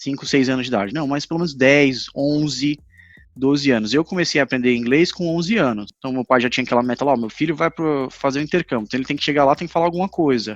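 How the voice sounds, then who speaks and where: A man talks very fast at a fairly high pitch, his voice dry and close with no echo against a quiet background. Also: ordinary pitch variation. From Brazil, Recife. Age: 30s. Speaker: English teacher. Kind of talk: casual interview chat. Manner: halting.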